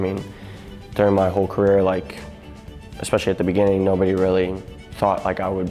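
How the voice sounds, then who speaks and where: Faint music plays behind a man speaking at a fairly quick pace in a very deep, low pitch with monotone, flat intonation. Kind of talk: interview answer. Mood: humble, grateful. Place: home room. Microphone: lapel.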